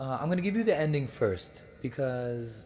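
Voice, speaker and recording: A man's somewhat breathy voice with an American accent at a moderate pace, audible room echo around it. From United States. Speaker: speaker at religious gathering. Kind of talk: lecture. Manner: halting, many fillers.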